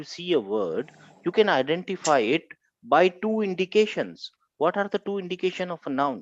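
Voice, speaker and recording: Recorded dry and close with no echo, a man with a Pakistani accent speaks at a high pitch with lively intonation and big swings in loudness. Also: moderate pace, quiet background. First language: Urdu. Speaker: Arabic grammar teacher. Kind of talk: online class lecture. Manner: animated.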